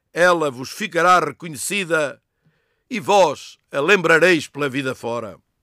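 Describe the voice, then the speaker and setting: On a very clean recording with a silent background, a man with a bright, sharp tone speaks at a fairly slow pace and fairly high pitch, using ordinary pitch variation. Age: 70s. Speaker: retired teacher. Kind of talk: reading aloud own poem; scripted narration.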